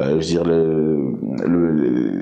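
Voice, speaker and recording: The voice is a man's. It carries audible room echo. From Belgium, of Congolese origin. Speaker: interviewee. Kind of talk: interview. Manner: halting, many hesitations.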